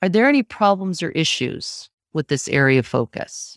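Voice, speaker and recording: Pitch swings very widely at a moderate pace in an American accent. The recording is very clean and dry, close with no echo, over a silent background. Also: woman. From upstate New York, Syracuse. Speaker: productivity coach. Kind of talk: interview.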